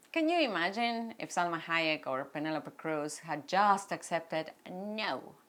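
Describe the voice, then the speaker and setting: A woman with a Mexican accent talks at a fairly slow pace in a fairly low pitch, with ordinary pitch variation and hardly any pauses. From Mexico. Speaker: actress and producer. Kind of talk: personal story vlog. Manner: animated.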